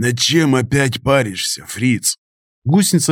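There is a quiet background behind a natural reading voice whose pitch varies an ordinary amount.

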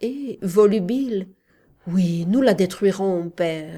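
The reading comes across in an unforced voice.

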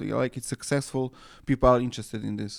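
On a very clean recording with a silent background, a man with a Serbo-Croatian accent talks with ordinary pitch variation. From Serbia. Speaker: anarchist journal editor. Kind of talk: interview. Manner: halting, many fillers.

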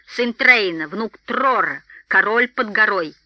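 Using a put-on character voice, the speaker talks at a slow pace with a bright, sharp tone and lively intonation.

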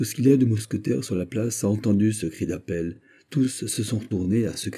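This natural reading voice shows ordinary pitch variation.

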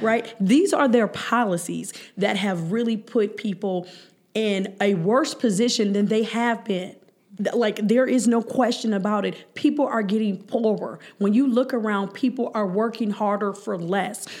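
An unremarkable speaking voice from a woman, fairly high in pitch, with ordinary pitch variation and a moderate pace. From Cleveland, Ohio (Hough, east side). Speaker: state legislator. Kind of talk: casual interview.

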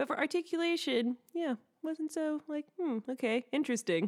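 Dry, close sound with no echo from a woman, on a very clean recording over a silent background. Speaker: podcast host. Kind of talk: casual chat.

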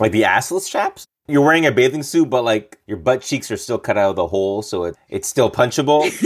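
Speaking with a Canadian accent, a man uses a normal speaking voice at medium pitch. He talks at a fairly quick pace with lively intonation and hardly any pauses. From Montreal, Quebec. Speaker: stand-up comedian and actor. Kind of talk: comedic casual chat.

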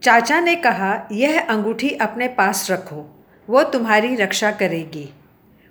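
Lively intonation in an unforced reading voice

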